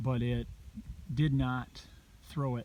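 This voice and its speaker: A man speaks quietly in a dark, mellow tone. His pace is fairly slow. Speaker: habitat consultant. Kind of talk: outdoor video tutorial. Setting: outdoors. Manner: casual.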